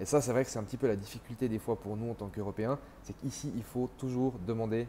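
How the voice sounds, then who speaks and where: A man speaks at a very fast pace in a dark, mellow tone. His voice is somewhat breathy, with fairly even intonation. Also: medium pitch for a man. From Switzerland (French-speaking). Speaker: entrepreneur sharing expat experience. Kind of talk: casual vlog monologue.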